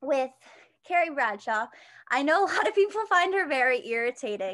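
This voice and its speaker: A woman speaks with a high pitch and very wide pitch swings. Her pace is moderate. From Pennsylvania, US. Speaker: college student, social media creator. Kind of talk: interview. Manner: casual, halting with fillers.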